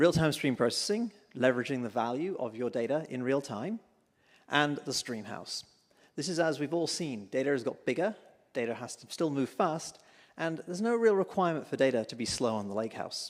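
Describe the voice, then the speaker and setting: A man's fairly high voice with a British accent, very wide pitch swings and a fairly quick pace. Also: very clean recording, silent background. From UK. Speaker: tech company executive. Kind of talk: conference keynote talk. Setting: stage with audience.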